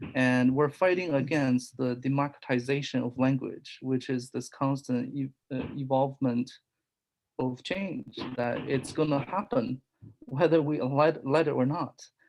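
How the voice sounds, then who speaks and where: A fairly slow pace in a non-native accent. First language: not English. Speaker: discussion group participant. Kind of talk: group discussion.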